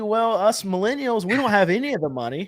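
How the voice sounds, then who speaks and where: Male speech captured on a very clean recording against a silent background. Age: 30s. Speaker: car market commentator. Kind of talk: casual chat.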